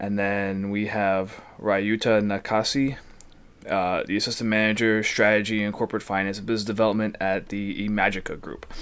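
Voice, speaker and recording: In a fairly low pitch, a man with an American accent talks at a moderate pace with monotone, flat intonation. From New Jersey. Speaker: student podcast host. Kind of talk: announcements; casual chat. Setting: video call.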